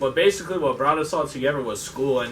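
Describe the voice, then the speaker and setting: A man with an American accent speaks over noticeable background noise, and audible room echo surrounds his voice. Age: 20s. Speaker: car enthusiast group member. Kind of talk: casual self-introduction.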